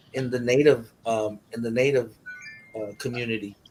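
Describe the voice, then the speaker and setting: Here a man speaks at a moderate pace. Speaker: rapper in a music group. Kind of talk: interview chat.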